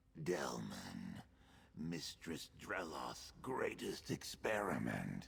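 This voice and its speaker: A man uses a put-on character voice, growling in a very deep, low pitch. He goes at a very slow pace. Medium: video game. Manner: halting, fragmented.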